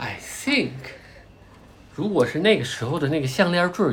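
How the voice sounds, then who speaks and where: The speaker is a man with an unremarkable speaking voice. His delivery is moderate in pace, and his intonation is lively. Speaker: podcast host and parent. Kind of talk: casual educational chat.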